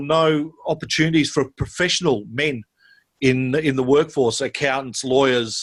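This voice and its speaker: A man with an Australian accent talks at a moderate pace with ordinary pitch variation. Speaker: school sports director. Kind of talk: interview.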